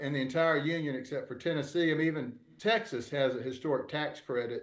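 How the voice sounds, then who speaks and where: A man talks at a fairly quick pace with a Southern US accent and ordinary pitch variation. Audible room echo surrounds his voice. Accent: Southern US (Georgia). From US South, Georgia (Albany). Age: 60s. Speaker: real estate developer. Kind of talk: panel discussion. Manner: halting, many fillers.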